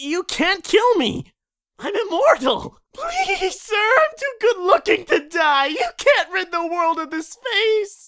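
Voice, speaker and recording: The voice is extremely high in pitch. It moves at a fairly slow pace. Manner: pleading, cocky.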